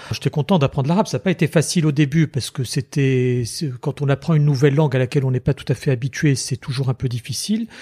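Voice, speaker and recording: A very fast, somewhat breathy male voice, fairly high in pitch with a dark, mellow tone, in a dry, close sound with no echo. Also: ordinary pitch variation. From Tunisia. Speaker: lawyer and former member of parliament. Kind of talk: interview.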